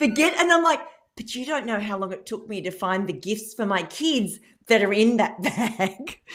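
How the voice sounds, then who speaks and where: An animated voice with an Australian accent and big swings in loudness, on a very clean recording with a silent background. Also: woman, fairly high pitch for a woman, lively intonation, moderate pace. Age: 50s. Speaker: keynote speaker and business mentor. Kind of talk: radio interview, telling a story.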